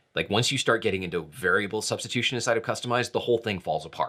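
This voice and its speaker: Vocal fry and a bright, sharp tone from a man. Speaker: tech show host. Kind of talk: casual tech news show.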